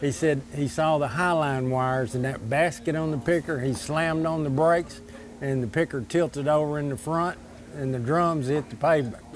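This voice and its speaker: Here a man speaks with an Arkansas accent at a moderate pace. His pitch is fairly high and his intonation fairly even. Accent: southern US (Arkansas). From Arkansas, Desha County. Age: 60s. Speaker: local diner customer. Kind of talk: interview. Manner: halting.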